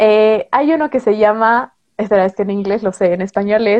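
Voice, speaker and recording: A plain, everyday voice at a moderate pace with ordinary pitch variation. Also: woman. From Bolivia. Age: 20s. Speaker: booktuber. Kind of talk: interview.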